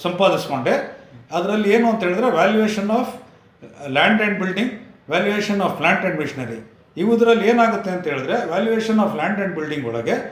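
The intonation is lively throughout. Audible room echo and noticeable background noise are present. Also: man, high pitch for a man. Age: 50s. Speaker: engineering consultant. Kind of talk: interview.

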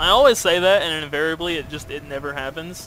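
Noticeable background noise fills the clip. A man does the talking. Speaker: gaming YouTuber. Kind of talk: gameplay commentary, narrating own PvP match. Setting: recorded gameplay video, voiceover. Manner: casual, self-deprecating, focused, mumbling asides.

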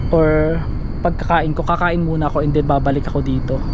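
Fairly slowly, a man talks in a dry sound with no echo while noticeable background noise carries on. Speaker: vlogger exploring an abandoned place. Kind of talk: casual vlog chat. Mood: calm, slightly wary. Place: open country. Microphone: phone near.

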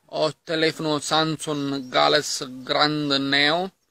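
A man speaks at a very slow pace in a bright, sharp tone. The sound is dry, with no echo. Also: quiet background. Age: 20s. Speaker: young man introducing himself; self-introducing vlogger. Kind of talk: self-introduction video. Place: garden. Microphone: phone near.

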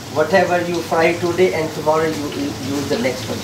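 A man speaks with an Indian accent. There is noticeable background noise. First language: Indian language. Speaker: chef and restaurant owner. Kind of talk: interview during kitchen tour. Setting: restaurant kitchen. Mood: friendly, proud. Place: kitchen. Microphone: camera far.

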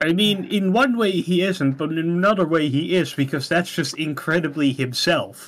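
With a Dutch accent, a man speaks at a high pitch with very even loudness and hardly any pauses. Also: ordinary pitch variation, moderate pace. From Netherlands. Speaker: game master. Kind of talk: tabletop roleplaying session. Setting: voice call.

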